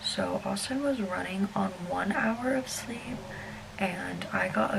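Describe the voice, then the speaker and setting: A woman with an American accent speaks amid noticeable background noise and audible room echo. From US South, South Alabama. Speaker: travel vlogger. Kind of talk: casual vlog storytelling. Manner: shaky, fidgety.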